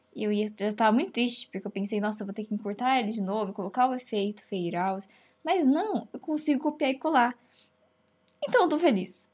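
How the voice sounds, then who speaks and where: Somewhat breathy and fairly high in pitch, a woman speaks at a fairly quick pace with lively intonation. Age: 20s. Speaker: veterinary student, amateur podcaster. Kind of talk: casual solo monologue. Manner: animated.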